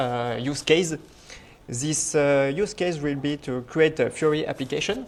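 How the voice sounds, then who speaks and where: A man with a French accent, fairly high in pitch, ordinary pitch variation, fairly slow pace. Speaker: conference speaker, software developer. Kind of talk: technical presentation.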